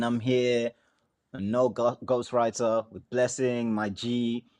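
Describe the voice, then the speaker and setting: A man with an African accent speaks at a medium pitch. His pace is very slow, and the background is quiet. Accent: African accent, UK-based. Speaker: rapper. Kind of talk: casual chat.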